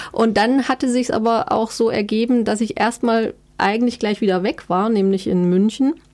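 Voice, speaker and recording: A woman speaks in a normal speaking voice, fairly high in pitch, with ordinary pitch variation. Her pace is moderate and her loudness very even. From eastern Germany (Erfurt, Thuringia). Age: 30s. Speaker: book editor and journalist. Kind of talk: interview conversation.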